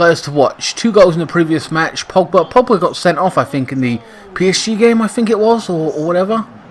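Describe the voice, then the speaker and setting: A man with an English accent at a fairly quick pace, over noticeable background noise. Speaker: gaming YouTuber commentating football sim. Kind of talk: casual gaming commentary. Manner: casual with many fillers.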